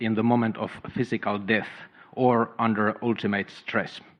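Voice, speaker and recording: The speaker has a strong non-native accent and fairly even intonation. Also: man. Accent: thick foreign. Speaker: doctor. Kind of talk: audience Q&A with speaker. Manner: slow; halting, many fillers.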